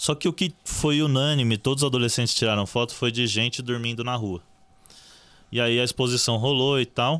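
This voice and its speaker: Using a plain, everyday voice, a man speaks at a medium pitch and moderate pace, with ordinary pitch variation and very even loudness. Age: 20s. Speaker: journalist and social project co-founder. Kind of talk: casual chat.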